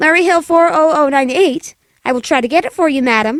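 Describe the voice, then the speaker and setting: In a squeaky, put-on character voice, a woman speaks at a high pitch and a fairly quick pace with ordinary pitch variation, the sound dry and close with no echo. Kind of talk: 1940s radio acting. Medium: audio drama. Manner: polite, formal, patient.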